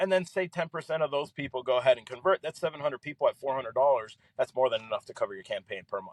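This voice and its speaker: Talking at a very fast pace, a man with an American accent uses lively intonation. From Miami, Florida (Kendall). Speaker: entrepreneur and former ad salesman. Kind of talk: podcast interview, personal story. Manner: casual, filler-heavy.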